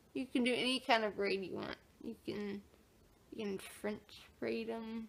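A woman talks fairly slowly, and her pitch swings very widely. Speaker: vlogger. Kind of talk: casual vlog chat. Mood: playful, joking. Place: home room. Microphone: phone near.

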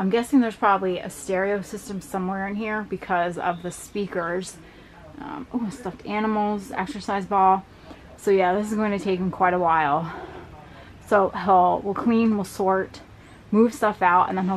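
There is light background noise as a woman speaks with ordinary pitch variation. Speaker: storage unit reseller. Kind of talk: casual vlog chat. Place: garage. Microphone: camera far.

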